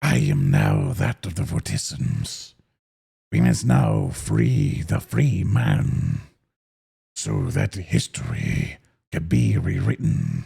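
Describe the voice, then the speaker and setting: A man's put-on character voice, raspy and gravelly, very deep and low in pitch, at a very slow pace. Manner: solemn otherworldly.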